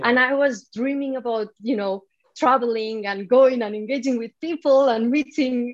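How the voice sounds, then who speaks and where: The speaker talks with a Spanish accent at a moderate pace, using ordinary pitch variation. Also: woman, high pitch for a woman. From Spain. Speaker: developer advocate. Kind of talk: interview.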